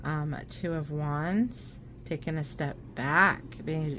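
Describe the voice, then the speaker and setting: Audible room echo surrounds a woman with a very deep, low pitch and fairly even intonation. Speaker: tarot reader. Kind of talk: tarot reading to camera. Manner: slow; contemplative, hesitant with many ums.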